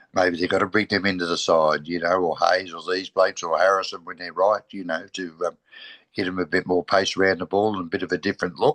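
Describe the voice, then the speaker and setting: A man with an Australian accent, very deep and low, very fast and monotone in flat intonation, dry and close with no echo. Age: 60s. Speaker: football podcast co-host. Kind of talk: casual chat.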